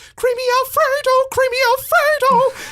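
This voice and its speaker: Someone uses a put-on character voice with an extremely high pitch. It sounds shrill and moves at a moderate pace. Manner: prerecorded-style jingle, repeated.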